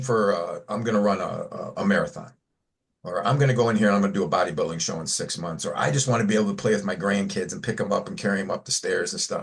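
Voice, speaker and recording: This somewhat breathy voice moves at a very fast pace, its pitch swinging very widely. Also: man. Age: 60s. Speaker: fitness coach. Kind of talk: casual chat.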